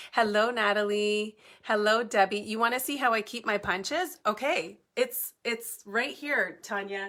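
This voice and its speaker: The woman's voice comes through loud. It sounds bright and sharp. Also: fairly high pitch for a woman, ordinary pitch variation, fairly slow pace. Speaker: papercrafting tutorial host. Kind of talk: live-stream crafting tutorial chat. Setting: home basement, live stream. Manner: chatty, casual.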